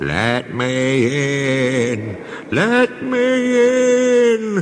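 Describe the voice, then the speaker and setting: A man's put-on character voice, fairly high in pitch, with very wide pitch swings. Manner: spooky, eerie.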